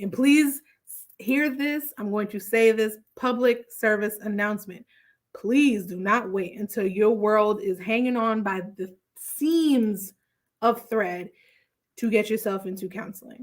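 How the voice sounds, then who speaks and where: A woman with a fairly high pitch and animated tone, at a fairly slow pace with ordinary pitch variation. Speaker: therapist podcast host. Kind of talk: solo podcast recap.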